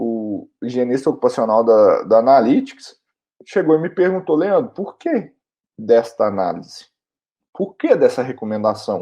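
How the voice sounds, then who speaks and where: In a Minas Gerais accent, a man speaks at a fairly slow pace and a medium pitch in a dark, mellow tone, his voice making very wide pitch swings over a quiet background. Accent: mineiro. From Minas Gerais, Brazil. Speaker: occupational hygienist and online instructor. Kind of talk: educational video talk. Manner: casual, conversational.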